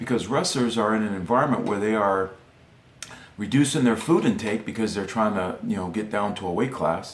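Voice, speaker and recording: A man with a fairly low voice talks at a fairly quick clip over noticeable background noise. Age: 50s. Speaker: former world champion wrestler and coach. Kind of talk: instructional talk. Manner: hesitant, many fillers.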